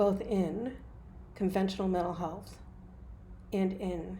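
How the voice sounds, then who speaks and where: In an American accent, a woman speaks at a fairly slow pace with a medium pitch, vocal fry, and a dark, mellow tone. Audible room echo surrounds her voice. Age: 60s. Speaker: hypnotist and mental health provider. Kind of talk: opinion monologue.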